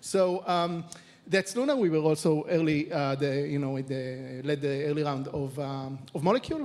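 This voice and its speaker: A man with an Israeli accent speaks at a moderate pace in a fairly high voice. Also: ordinary pitch variation. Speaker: venture capital investor; panelist. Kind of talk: panel discussion. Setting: stage with audience. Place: stage. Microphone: handheld.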